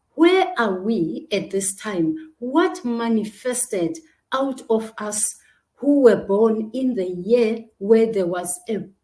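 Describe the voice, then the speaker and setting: A woman speaks very slowly in a fairly high, somewhat breathy voice with a dark, mellow tone and lively intonation. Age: 60s. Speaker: talk show host and coach. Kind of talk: online talk show monologue. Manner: animated.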